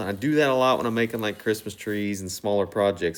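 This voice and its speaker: A man speaks in a southern Ohio accent with ordinary pitch variation. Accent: Southern Ohio, noticeable. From US Midwest, Southern Ohio. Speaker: woodturner, channel host. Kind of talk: tutorial voice-over. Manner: casual, filler-heavy.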